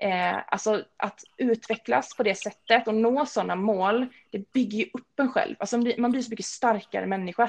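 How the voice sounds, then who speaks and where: Speaking at a moderate pace with hardly any pauses, a woman uses a fairly high pitch, ordinary pitch variation and vocal fry. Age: 30s. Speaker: personal trainer. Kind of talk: casual interview.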